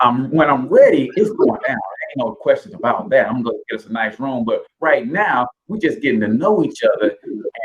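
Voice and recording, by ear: A natural read-aloud voice against a quiet background.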